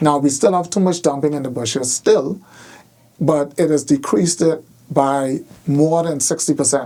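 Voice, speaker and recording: A man with a Bahamian accent speaks at a moderate pace with ordinary pitch variation. His voice has a fairly high pitch and a dark, mellow tone. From Bahamas. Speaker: government minister, former educator. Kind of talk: interview answer. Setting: radio studio.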